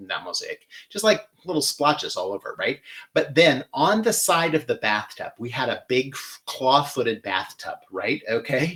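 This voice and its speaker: With a Midwestern accent, a man speaks at a fairly slow pace while his pitch swings very widely. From US Midwest, Michigan. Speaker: florist and floral design host. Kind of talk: live floral design demonstration. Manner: casual, chatty with many fillers; clipped vowels, shortens words.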